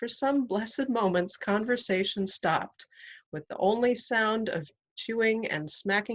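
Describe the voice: Plain reading aloud with ordinary pitch variation over a quiet background.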